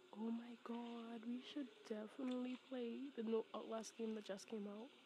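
Monotone and flat, the voice moves at a moderate pace over noticeable background noise. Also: woman, fairly high pitch for a woman. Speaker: ASMR roleplay creator. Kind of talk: ASMR girlfriend roleplay. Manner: soft, affectionate, teasing.

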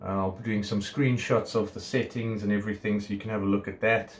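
Light background noise behind a man speaking. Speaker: product reviewer. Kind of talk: casual unboxing review. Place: home room. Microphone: phone near.

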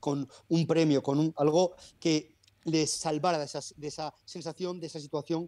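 A man at a fairly high pitch with a dark, mellow tone, monotone, flat intonation, and a moderate pace, in a dry sound with no echo over a quiet background. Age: 30s. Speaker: personal trainer. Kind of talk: interview. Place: home room. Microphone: earbuds.

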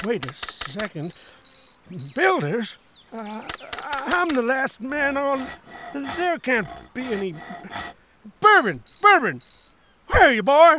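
A cartoonish character voice, high in pitch, at a fairly slow pace with long, frequent pauses. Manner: angry, shouting.

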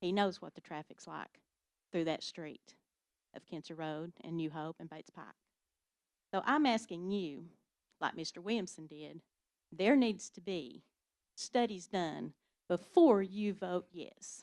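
A woman with an East Tennessee accent speaks at a fairly slow pace and fairly low pitch, with ordinary pitch variation, big swings in loudness, and long, frequent pauses. The recording is very clean with a silent background, and the sound is dry and close with no echo. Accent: Southern US (East Tennessee). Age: 60s. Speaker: local resident. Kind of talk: public comment at county meeting. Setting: county commission meeting.

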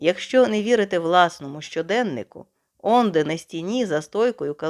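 Plain reading aloud with lively intonation sounds against a quiet background.

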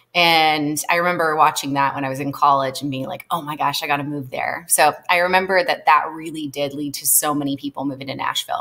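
With an American accent, a woman speaks at a very deep, low pitch. Her delivery is monotone and flat, with hardly any pauses. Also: fairly quick pace. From California, Monterey/Salinas area. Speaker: talent management company co-founder. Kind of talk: interview conversation. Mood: animated storytelling. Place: home room. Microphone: webcam.

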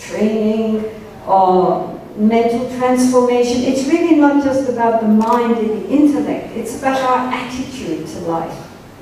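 A woman speaks at a high pitch with ordinary pitch variation. Strong room echo and light background noise are present. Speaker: Buddhist nun teacher. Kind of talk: Dharma talk to audience. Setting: stage with audience. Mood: calm, earnest. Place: hall.

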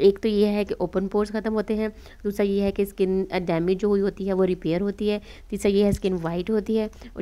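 This woman's voice has a dark, mellow tone, a medium pitch, monotone, flat intonation, and a moderate pace. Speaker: beauty vlogger. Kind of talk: tutorial.

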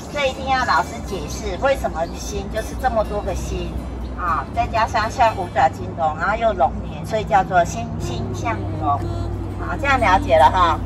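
Moderate pacing over clear music in the background. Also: woman. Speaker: hiking guide teacher. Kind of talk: outdoor guided explanation. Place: forest.

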